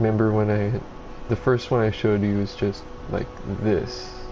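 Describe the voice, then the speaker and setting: A man at a moderate pace, fairly low in pitch, with fairly even intonation and noticeable background noise. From Mexico. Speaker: gamer streamer. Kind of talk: gameplay commentary. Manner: casual, halting.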